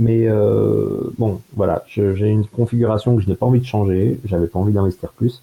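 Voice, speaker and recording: Close and dry with no echo, a man's somewhat breathy, dark, mellow voice sits fairly low in pitch, holding a very even loudness at a moderate pace. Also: hardly any pauses. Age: 20s. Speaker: computer hobbyist. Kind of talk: casual chat. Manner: halting.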